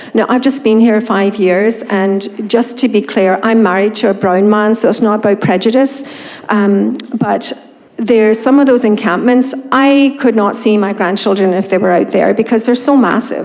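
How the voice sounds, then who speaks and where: A woman of fairly high pitch at a moderate pace, fairly even intonation and very even loudness, with audible room echo and noticeable background noise. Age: 60s. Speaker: resident speaking at council meeting. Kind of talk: public comment. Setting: town council chamber. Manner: informal, hesitant with many ums.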